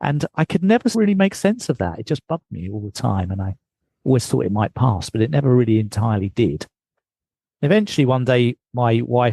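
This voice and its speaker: A somewhat breathy man with a British accent and a dark, mellow tone talks at a very fast pace in a dry, close sound with no echo. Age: 60s. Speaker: mindfulness teacher and marathon fundraiser. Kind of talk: interview.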